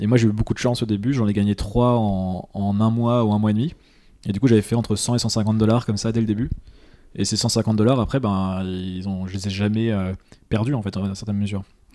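A man speaks fairly quickly in a dark, mellow tone at a fairly low pitch. His intonation is monotone and flat. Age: 20s. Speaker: entrepreneur. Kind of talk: casual interview.

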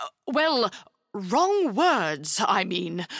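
A woman's put-on character voice at a very slow pace, medium in pitch with big pitch swings, a fairly bright tone, vocal fry, and a dry, close sound with no echo

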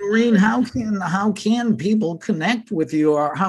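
In an American accent, a man speaks at a moderate pace. His intonation is lively. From United States. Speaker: spirituality podcast co-host. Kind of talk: interview.

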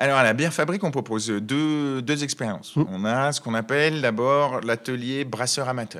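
A man talks fairly quickly in a normal speaking voice, keeping a medium pitch with ordinary pitch variation. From Savoie, France. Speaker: brewery founder.

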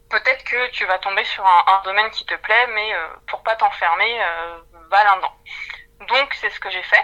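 The intonation stays fairly even in an unremarkable speaking voice. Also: woman. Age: 20s. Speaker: HR development manager. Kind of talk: interview.

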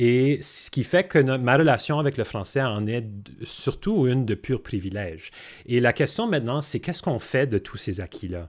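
A man's unremarkable speaking voice, medium in pitch, with lively intonation at a moderate pace. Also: very clean recording, silent background. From Manitoba, Canada. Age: young. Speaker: businessman. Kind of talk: panel discussion.

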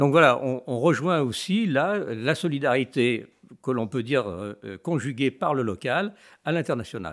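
A man's medium-pitched voice with very wide swings in pitch, at a fairly slow pace, on a very clean recording with a silent background. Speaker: association president. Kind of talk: panel discussion interview.

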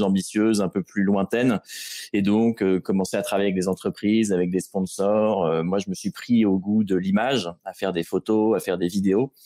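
A man with a dark, mellow tone and fairly low pitch speaks at a fairly quick pace. The recording is very clean, dry and close, with no echo and a silent background. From Normandy, France (Rouen). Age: 20s. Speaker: adventurer and explorer. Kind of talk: interview. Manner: hesitant, frequent repetitions.

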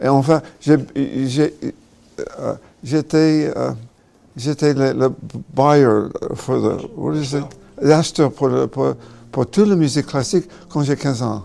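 In an English accent, a man with a fairly high pitch talks at a very slow pace with long, frequent pauses. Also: ordinary pitch variation. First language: English (speaking French). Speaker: musician. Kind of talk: interview. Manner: halting.

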